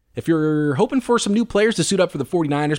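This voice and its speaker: A man talks with lively intonation. Around him the background is silent, and the recording is very clean. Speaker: sports podcast host. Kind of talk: solo sports podcast commentary. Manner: fast.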